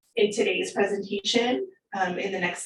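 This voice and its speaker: At a fairly slow pace, a woman speaks in a somewhat breathy voice pitched fairly high. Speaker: county staff presenter. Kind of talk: presentation.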